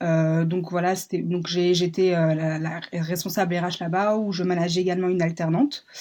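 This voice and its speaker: Hardly pausing, a woman talks at a moderate pace in a dark, mellow tone, her fairly low pitch held in monotone, flat intonation. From France, Paris. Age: 20s. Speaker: job seeker in human resources. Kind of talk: job interview. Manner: hesitant, many fillers.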